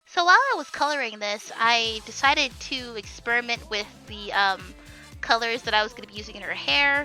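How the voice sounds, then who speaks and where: A woman with a fairly high voice talks at a moderate speed, her pitch varying in an ordinary way, while music plays in the background. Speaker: digital artist. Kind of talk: casual talk to camera.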